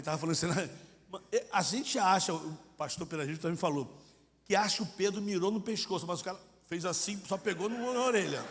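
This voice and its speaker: A man with a high pitch speaks at a very fast pace, with ordinary pitch variation. His speech has long, frequent pauses, and audible room echo can be heard. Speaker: missionary preacher. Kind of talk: sermon. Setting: church congress with audience. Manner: animated, acts out dialogue; colloquial, informal.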